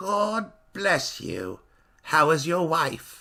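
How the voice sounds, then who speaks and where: Raspy and at a middle pitch, the speaker puts on a character voice. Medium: audio drama. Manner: stiff, solemn.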